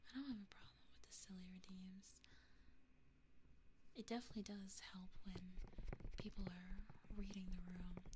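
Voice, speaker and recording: The whispering keeps a moderate pace but is broken by long, frequent pauses. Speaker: VTuber ASMR streamer. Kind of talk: casual ASMR stream chat. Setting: binaural microphone. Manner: whispered.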